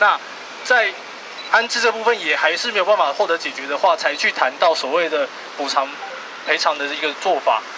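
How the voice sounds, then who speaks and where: A man with a Taiwanese accent speaks at a fairly quick pace with long, frequent pauses and noticeable background noise. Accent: Taiwanese Mandarin. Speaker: housing rights activist. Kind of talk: press conference statement. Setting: outdoors. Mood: serious, measured. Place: street. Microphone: handheld.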